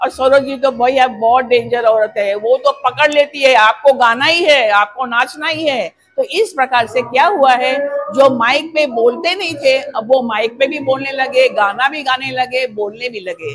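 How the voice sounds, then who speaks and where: Hardly pausing, a woman with a high pitch talks with ordinary pitch variation. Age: 70s. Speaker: retired vice principal. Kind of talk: interview testimony.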